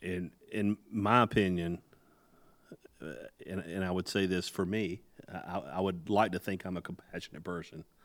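Long, frequent pauses break up a man's very deep, low voice as he speaks at a moderate pace with fairly even intonation. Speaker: podcast host and leadership guest. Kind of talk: casual podcast interview.

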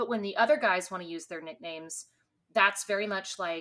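On a very clean recording with a silent background, a woman with an American accent speaks at a fairly quick pace, her medium-pitched voice bright and sharp in tone. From Texas. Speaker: podcast co-host. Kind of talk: casual chat.

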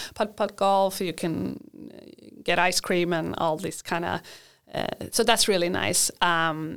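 A woman with a Swedish accent speaks at a fairly low pitch with vocal fry and fairly even intonation, on a very clean recording with a silent background. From Sweden. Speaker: university international coordinator. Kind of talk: casual interview.

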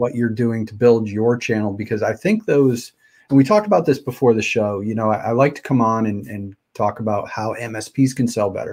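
A man with an unremarkable speaking voice talks at a medium pitch and a fairly quick pace, with hardly any pauses. His intonation is fairly even, and the recording is very clean with a silent background. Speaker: podcast and live stream host. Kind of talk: casual interview chat. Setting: live video stream. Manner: casual, stumbling.

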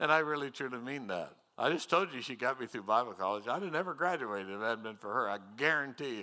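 Talking at a very fast pace, a man with an American accent uses a medium pitch and lively intonation. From US Midwest, northwest Missouri. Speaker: retired pastor. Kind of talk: sermon. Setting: church.

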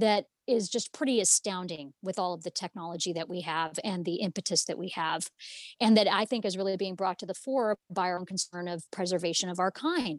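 An unremarkable speaking voice, a woman of medium pitch talks at a fairly quick pace with ordinary pitch variation, captured in a very clean recording with a silent background and a dry, close sound with no echo. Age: 50s. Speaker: activist and movement founder. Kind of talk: interview.

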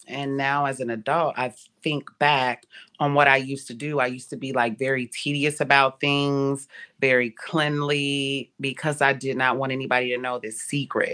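At a moderate pace, a woman with an American accent speaks in a very deep, low pitch and a monotone, flat intonation. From Ohio. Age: 30s. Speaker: nurse. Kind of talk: testimony.

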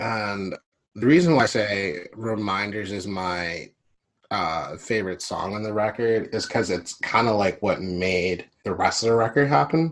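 With an unremarkable speaking voice, this man talks fairly low and keeps his pitch variation ordinary. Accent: American. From Philadelphia, US. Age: 30s. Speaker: musician. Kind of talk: interview.

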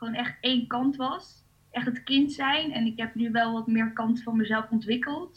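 At a fairly slow pace, a woman speaks with a high pitch and fairly even intonation. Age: 20s. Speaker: coach and blogger. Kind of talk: casual interview.

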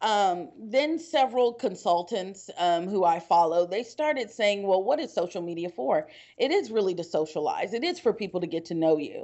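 With an American accent, a woman speaks at a moderate pace and hardly any pauses. Her pitch is medium, with very wide swings. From Texas, Houston. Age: 20s. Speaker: real estate broker and trainer. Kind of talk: casual chat.

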